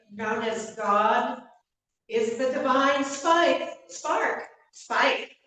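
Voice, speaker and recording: A woman's very slow speech carries audible room echo. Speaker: minister. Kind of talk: sermon. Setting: church.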